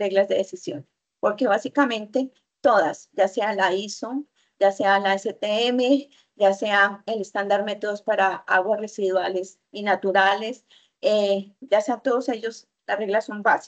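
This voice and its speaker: A woman with an unremarkable speaking voice and a fairly high pitch talks at a fairly slow pace with ordinary pitch variation. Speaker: university chemistry lecturer. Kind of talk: online lecture.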